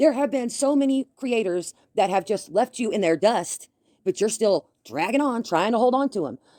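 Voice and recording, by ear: A woman's fairly high, dark and mellow voice at a moderate pace, with lively intonation and a dry, close sound free of echo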